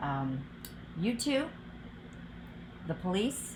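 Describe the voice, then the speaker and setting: A woman with a Midwestern US accent speaks at a fairly slow pace in a fairly low voice with very wide pitch swings. Audible room echo surrounds her speech. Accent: General American, Midwestern. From US Midwest, outside Cleveland, Ohio. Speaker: political candidate, physician. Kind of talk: interview answers.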